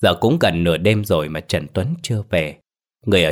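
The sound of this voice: Someone reads in an unforced voice with lively intonation. Nothing else is heard in the background.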